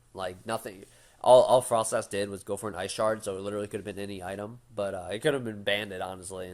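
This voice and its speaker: Talking very fast, a man keeps a fairly low pitch and fairly even intonation. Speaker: gaming YouTuber. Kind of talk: casual commentary to camera. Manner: halting, many fillers.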